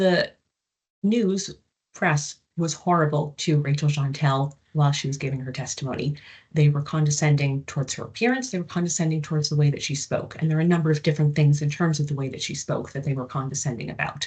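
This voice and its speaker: Somewhat breathy, with an American accent, a woman speaks at a very fast pace in a very deep, low pitch against a quiet background. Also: ordinary pitch variation. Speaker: psychology professor. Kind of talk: lecture.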